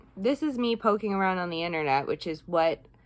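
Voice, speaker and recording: On a very clean recording with a silent background, a plain, everyday voice uses ordinary pitch variation. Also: woman. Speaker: vlogger with chronic illness. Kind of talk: casual health vlog monologue. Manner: rambling with fillers.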